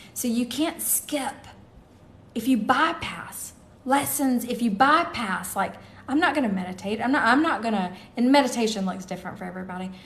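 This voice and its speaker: A woman speaks in a high voice with lively intonation, and the room echo is audible. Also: moderate pace. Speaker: tarot reader and livestream host. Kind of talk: live stream chat and card reading. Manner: casual, halting.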